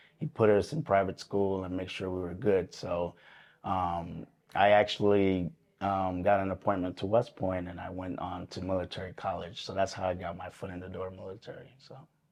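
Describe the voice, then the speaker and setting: Against a quiet background, a man speaks at a moderate pace with a very deep, low pitch. His intonation is fairly even while his loudness swings a lot. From Puerto Rico and the Bronx, New York City. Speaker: army veteran, recovery group leader. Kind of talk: interview testimony. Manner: hesitant, many fillers.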